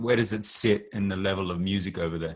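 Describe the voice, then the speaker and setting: An Australian-accented man with ordinary pitch variation against a quiet background. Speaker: podcast host and rapper. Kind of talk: casual interview chat.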